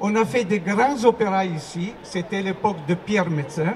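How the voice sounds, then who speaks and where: A man with an Italian accent and a high pitch speaks at a very slow pace. Noticeable background noise and audible room echo surround him. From Italy. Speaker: opera performer. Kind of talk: public speech at rally. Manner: halting.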